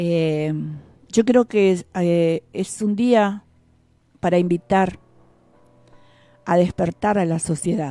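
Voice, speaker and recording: A woman's dark, mellow voice at a fairly low pitch with ordinary variation, very slow pace and long, frequent pauses, in a dry, close sound with no echo. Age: 50s. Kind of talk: radio reflection. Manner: halting.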